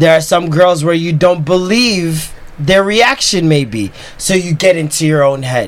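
A man's high-pitched voice with lively intonation at a fairly slow pace, over noticeable background noise. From Jamaica. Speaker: podcast guest. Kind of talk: casual chat.

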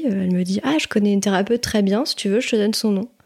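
A woman's unremarkable speaking voice, medium-pitched, with ordinary pitch variation, on a very clean recording against a silent background. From Île-de-France, France. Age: 30s. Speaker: energy healer. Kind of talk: personal testimony interview. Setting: treatment room at her home.

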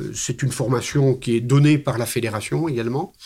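A somewhat breathy man at a medium pitch and a fairly slow pace, in a very clean recording with a silent background. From Belgium. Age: 60s. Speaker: hiking club president. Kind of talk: interview. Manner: hesitant, many fillers.

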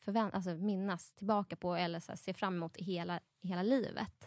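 In a quiet background, a woman with an unremarkable speaking voice talks at a medium pitch with fairly even intonation. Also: dry, close sound with no echo. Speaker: new mother. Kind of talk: casual chat.

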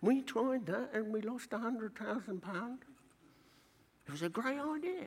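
Moderately paced speech in a London accent, with very wide pitch swings and noticeable background noise. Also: man. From East London. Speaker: church speaker. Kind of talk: pep talk, exhortation to act in faith. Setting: conference stage with audience. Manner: urgent, rousing, emphatic.

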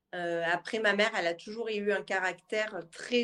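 In a plain, everyday voice, a woman speaks at a fairly high pitch. Her pace is fairly slow, with ordinary pitch variation. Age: 20s. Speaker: adoptee. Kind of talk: casual chat.

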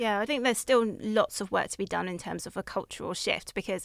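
A woman talks at a fairly quick pace with fairly even intonation and vocal fry. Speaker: podcast co-host. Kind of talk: casual interview conversation.

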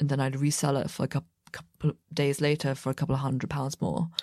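Her voice is very deep and low for a woman. She speaks at a fairly quick pace in a monotone, flat intonation. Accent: southern English. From England, about an hour west of London. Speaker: fashion brand co-founder. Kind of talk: interview. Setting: recording booth in New York City studio.

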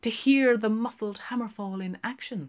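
The pace is fairly slow. The pitch varies in an ordinary way. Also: woman.

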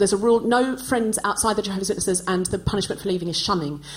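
Behind noticeable background noise, a woman speaks at a medium pitch with ordinary pitch variation. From Australia. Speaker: comedian and podcast host. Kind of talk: live comedy podcast chat. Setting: stage with live audience.

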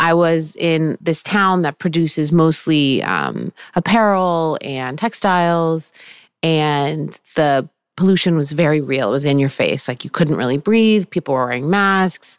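A very deep, low-pitched woman's voice at a fairly slow pace, with ordinary pitch variation, on a very clean recording with a dry, close sound, no echo and a silent background. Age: 40s. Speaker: fashion entrepreneur. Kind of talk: casual chat.

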